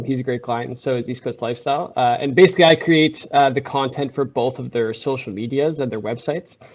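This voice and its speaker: The clip features a normal speaking voice with ordinary pitch variation. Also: man. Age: 20s. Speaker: photographer and videographer, small business owner. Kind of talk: career talk to students. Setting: video call, on a client's set.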